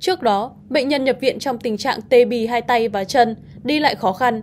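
Speaking at a moderate pace, a woman uses lively intonation and vocal fry in a fairly high pitch. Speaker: news presenter. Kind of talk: news reading. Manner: formal.

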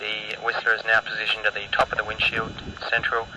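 Noticeable background noise sits behind this man's voice. He speaks at a fairly quick pace with a fairly low pitch. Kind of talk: commentary. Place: open country.

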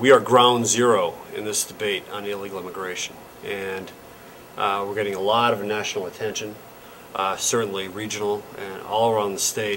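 A man speaks with fairly low pitch and monotone, flat intonation. His pace is moderate, with light background noise. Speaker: local politician. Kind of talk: interview answer. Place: meeting room.

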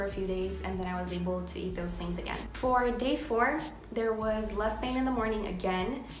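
A woman talks at a fairly quick pace. Audible room echo and light background noise are present. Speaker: vlogger. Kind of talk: casual talk to camera. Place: home room. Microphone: phone near.

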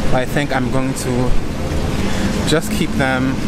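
A man talks over loud background noise. The sound is dry, with no echo. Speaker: vlogger. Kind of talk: casual vlog chat. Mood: relaxed, chatty. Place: street. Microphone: phone near.

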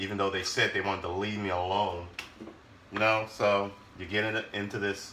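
Noticeable background noise sits behind a man's voice. He speaks at a moderate pace with a fairly low pitch. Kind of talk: casual cooking vlog chat. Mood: wry, a bit weary. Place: kitchen. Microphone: phone near.

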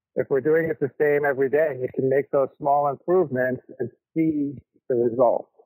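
This man has a fairly high pitch and a normal speaking voice. His intonation stays fairly even, and the sound is dry and close with no echo. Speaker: vegetable farmer. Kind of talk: interview. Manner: casual.

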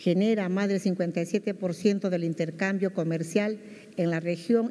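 Against a quiet background, a woman speaks at a very slow pace with a fairly low pitch, a dark, mellow tone and ordinary pitch variation. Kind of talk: formal ceremonial speech. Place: hall. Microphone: podium.

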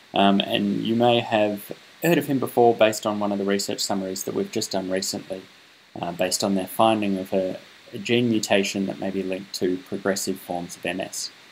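A man with an Australian accent, fairly low in pitch, at a fairly quick pace with fairly even intonation. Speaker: interviewer, research communication host. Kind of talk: interview.

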